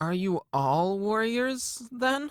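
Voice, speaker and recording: A fairly high-pitched, put-on character voice. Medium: audio drama. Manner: curious, earnest.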